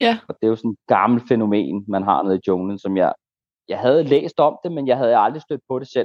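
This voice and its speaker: This man, in a normal speaking voice, talks at moderate speed with his pitch in the middle range. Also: lively intonation. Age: 30s. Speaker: ayahuasca shaman. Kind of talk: interview.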